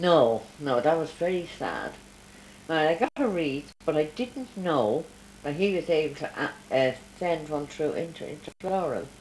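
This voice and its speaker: A woman's very deep, low voice in an Irish accent, with lively intonation, a fairly slow pace and noticeable background noise. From Ireland. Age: 80s+. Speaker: grandmother interviewed by grandchild. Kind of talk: family interview.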